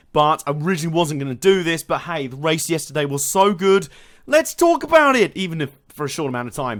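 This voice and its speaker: In a very clean recording with a silent background, a man with a British accent speaks very fast at a fairly high pitch, with ordinary pitch variation and big swings in loudness. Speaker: motorsport video commentator. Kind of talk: casual analysis monologue.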